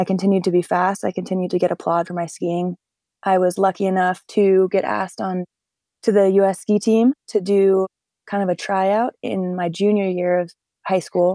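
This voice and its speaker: A woman's medium-pitched voice with an American accent, dark and mellow in tone, monotone and flat, at a moderate pace, dry and close with no echo, on a very clean recording with a silent background. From US Northeast, northern New Hampshire. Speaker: professional skier and paraglider. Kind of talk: interview conversation.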